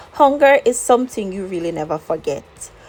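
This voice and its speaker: A woman at a moderate pace, lively intonation, noticeable background noise behind her. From Jamaica, Old Harbour, Saint Catherine. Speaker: lifestyle vlogger and teacher. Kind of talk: personal storytelling vlog. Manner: conversational.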